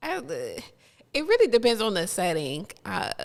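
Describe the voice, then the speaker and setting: On a very clean recording with a silent background, a woman with an American accent speaks at a very slow pace. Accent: southern drawl when relaxed, proper otherwise. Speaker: podcast co-host. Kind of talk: casual chat. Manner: polished, proper 'call center' style.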